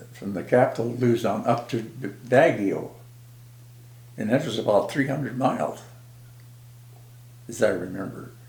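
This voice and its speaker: A man speaks in a somewhat breathy voice. He leaves long, frequent pauses. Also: medium pitch for a man, ordinary pitch variation, moderate pace. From South Dakota. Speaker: war veteran. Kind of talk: interview answer. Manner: casual, rambling.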